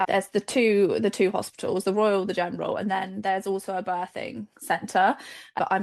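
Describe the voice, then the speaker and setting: Against a quiet background, a woman with a normal speaking voice speaks at a fairly quick pace, her medium pitch kept to a fairly even intonation. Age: 20s. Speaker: children's nurse and new mother. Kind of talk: casual interview, birth story.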